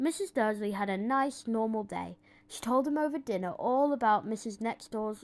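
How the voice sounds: The pitch varies in an ordinary way as the text is read in a natural reading voice.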